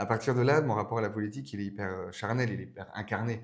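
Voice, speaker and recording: A man talks at a very fast pace. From France, Burgundy. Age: 20s. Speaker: political speechwriter. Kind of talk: podcast interview. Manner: hesitant, many fillers.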